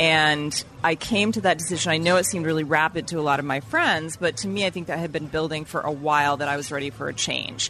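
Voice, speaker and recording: A woman with a very deep, low pitch speaks at a very fast pace with hardly any pauses and ordinary pitch variation. Music plays in the background. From Vermont, New England. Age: 50s. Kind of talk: casual chat. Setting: restaurant lunch.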